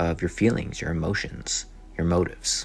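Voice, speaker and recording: A man's voice with music in the background. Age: 20s. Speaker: podcast host. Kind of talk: casual self-help talk. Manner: casual, conversational.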